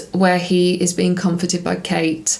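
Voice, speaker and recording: A woman talks with a British accent. Her pitch sits in the medium range. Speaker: TV review YouTuber. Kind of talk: casual review monologue. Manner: calmer.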